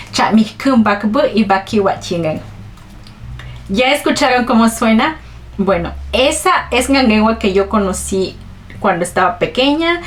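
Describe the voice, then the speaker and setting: Over noticeable background noise, a woman with a fairly high voice talks fairly slowly with lively intonation, very even loudness and long, frequent pauses. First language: Ch'ol (Mayan language) (speaking Spanish). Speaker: vlogger. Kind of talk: personal storytelling vlog.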